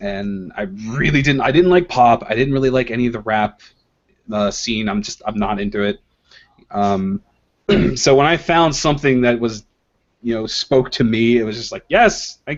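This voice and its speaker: Delivered in a normal speaking voice, the speech keeps a moderate pace with ordinary pitch variation. Loudness swings widely. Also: man, medium pitch for a man. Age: 20s. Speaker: comic artist. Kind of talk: casual chat.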